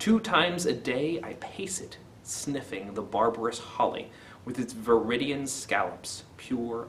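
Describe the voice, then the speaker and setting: Over light background noise, a man has an unremarkable speaking voice, a fairly slow pace and ordinary pitch variation. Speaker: poetry video host. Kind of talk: poetry reading, then casual commentary. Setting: video channel. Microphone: webcam.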